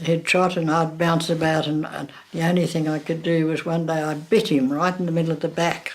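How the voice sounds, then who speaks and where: A woman with an Australian accent speaks at a fairly low pitch and moderate pace. Her intonation is fairly even, with noticeable background noise. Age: 90s. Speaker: elderly local resident. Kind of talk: interview reminiscence.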